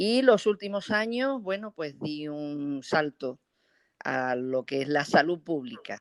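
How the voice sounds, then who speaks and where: A woman with a very deep, low voice speaks at a very slow pace with very wide pitch swings, in a dry, close sound with no echo on a very clean recording with a silent background. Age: 60s. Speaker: physician, public health official. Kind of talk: interview. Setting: internet call. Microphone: sound is good.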